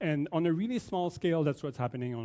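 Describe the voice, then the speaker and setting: A dark, mellow tone in a Quebec accent carries ordinary pitch variation. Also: man. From Quebec, Canada. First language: French. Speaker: oceanography professor. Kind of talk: keynote lecture.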